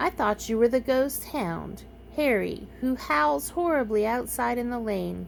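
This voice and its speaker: A woman performs a put-on character voice. Clear background noise can be heard behind her. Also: moderate pace. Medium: read story. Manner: nervous, stammering.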